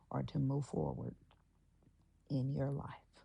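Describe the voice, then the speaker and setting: A woman speaks in a somewhat breathy voice with a dark, mellow tone and ordinary pitch variation. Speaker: podcast host. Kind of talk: motivational talk. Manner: pauses often, breathing heavily.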